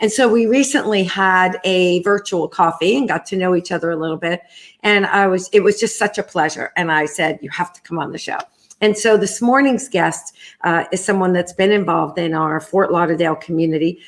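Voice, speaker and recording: A woman with a New York accent talks at a fairly quick pace in a medium pitch with ordinary pitch variation and big swings in loudness, on a very clean recording with a silent background. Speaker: talk show host, nonprofit executive. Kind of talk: interview. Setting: video stream from home kitchen.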